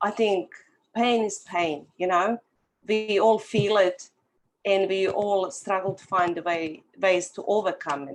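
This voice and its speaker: A woman speaks at a fairly slow pace in a strong Bosnian accent. Her voice sits at a medium pitch with ordinary pitch variation and big swings in loudness. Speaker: author. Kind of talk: testimony.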